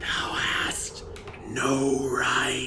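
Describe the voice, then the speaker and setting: A put-on character voice, whispering over loud background noise. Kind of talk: archaic, formal. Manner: creepy, ominous.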